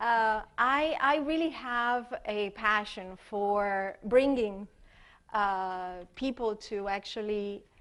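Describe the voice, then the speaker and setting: Against a quiet background, a woman with an Italian accent speaks at a very slow pace, her fairly high pitch showing ordinary variation. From Italy. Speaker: expressive arts therapist. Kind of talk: conference workshop presentation. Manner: hesitant, many fillers.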